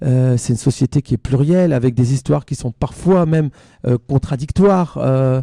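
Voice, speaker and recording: With a northern French accent, a man speaks at medium pitch and a moderate pace, with ordinary pitch variation. His tone is dark and mellow, and the sound is dry and close with no echo. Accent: northern French (ch'ti), fairly pronounced. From northern France, near Belgian border. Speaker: singer-songwriter and author. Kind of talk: radio interview. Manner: hesitant, many fillers.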